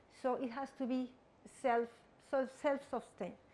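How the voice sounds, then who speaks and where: In a Spanish accent, a woman speaks at a moderate pace in a high pitch with ordinary pitch variation. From Mexico. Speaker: guest lecturer. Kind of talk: lecture. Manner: halting, with frequent repetitions.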